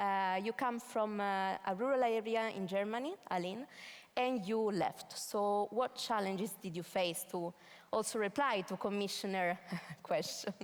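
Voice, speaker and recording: In an Italian accent, a woman talks fairly slowly at a medium pitch with ordinary pitch variation. The recording is very clean and the background silent. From northern Italy, Piedmont. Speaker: event moderator. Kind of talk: moderated panel discussion. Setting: stage with audience.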